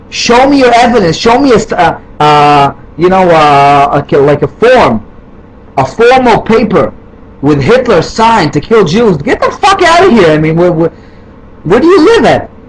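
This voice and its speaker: A man's high-pitched voice at a moderate pace, with very wide pitch swings and very even loudness over noticeable background noise. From Israel. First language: Hebrew. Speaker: video responder. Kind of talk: heated rant. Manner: halting, many fillers.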